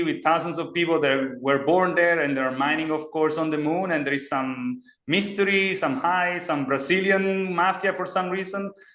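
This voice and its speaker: High in pitch, a man talks with hardly any pauses and fairly even intonation. Noticeable background noise is present. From Italy. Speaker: startup CEO and engineer. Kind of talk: podcast interview. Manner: halting.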